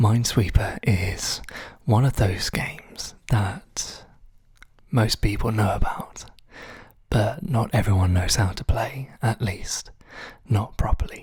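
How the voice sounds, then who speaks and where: Whispering at a very slow pace in a calm, relaxed tone, the speaker leaves long, frequent pauses. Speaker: ASMR tutorial host. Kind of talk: instructional tutorial narration. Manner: soft-spoken, calm, relaxed.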